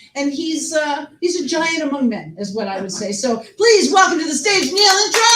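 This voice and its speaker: Over noticeable background noise, a high-pitched woman talks with very wide pitch swings and hardly any pauses. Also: moderate pace. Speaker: show host. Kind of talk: host introduction. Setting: live stage with audience. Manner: whispering.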